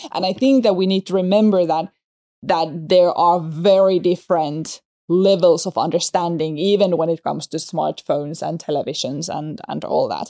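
A woman speaks at a fairly low pitch in a dark, mellow tone. The sound is dry and close with no echo, on a very clean recording with a silent background. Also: ordinary pitch variation. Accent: Finnish. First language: Finnish. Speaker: soft skills trainer for tech people. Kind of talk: casual chat. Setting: studio. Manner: fast talker.

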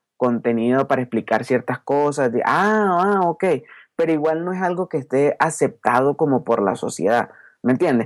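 A man with an unremarkable speaking voice talks at a moderate pace and a fairly high pitch, with ordinary pitch variation. The recording is very clean, with a silent background and a dry, close sound with no echo. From Venezuela, Caracas. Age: 20s. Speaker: youtuber and podcaster. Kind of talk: interview.

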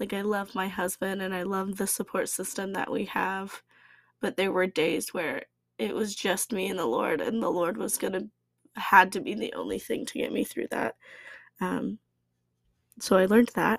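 With vocal fry and a medium pitch, a woman speaks with ordinary pitch variation and long, frequent pauses. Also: moderate pace, dry, close sound with no echo. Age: 20s. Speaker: podcast host. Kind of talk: personal reflection monologue. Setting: at home. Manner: casual with frequent laughter.

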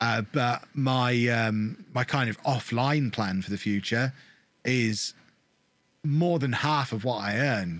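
A medium-pitched man's voice on a very clean recording with a silent background. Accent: English. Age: 30s. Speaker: gaming content creator. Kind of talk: interview.

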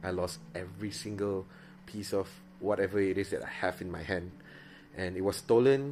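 With a Malaysian accent, a man speaks in a very deep, low pitch. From Miri, Sarawak. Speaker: preacher and podcaster. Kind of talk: casual personal podcast, testimony. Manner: close to the mic, soft, ASMR-like; unscripted, casual, filler words.

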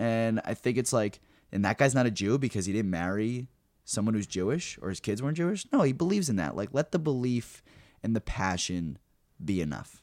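A man with a normal speaking voice and an American accent, medium in pitch, fairly quick and lively in intonation, on a very clean recording with a silent background. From New Jersey. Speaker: comedian. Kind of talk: casual chat.

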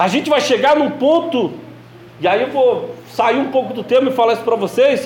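A man speaks at a moderate pace with an extremely high pitch and lively intonation. Room echo is audible, and background noise is noticeable. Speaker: religious teacher. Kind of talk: sermon-style teaching.

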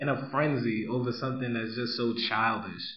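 With a Brooklyn accent, a man talks at a moderate pace over noticeable background noise. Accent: New York (Brooklyn). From US Northeast, Brooklyn, New York City. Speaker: podcast guest. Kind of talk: casual chat. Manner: loud.

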